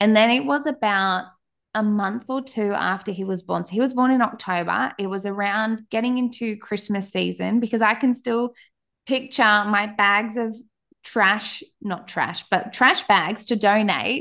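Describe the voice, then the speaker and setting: With an Australian accent, a woman speaks at a fairly slow pace in a bright, sharp tone, her pitch fairly high with ordinary pitch variation, against a quiet background. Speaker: podcaster and mum. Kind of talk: casual interview chat.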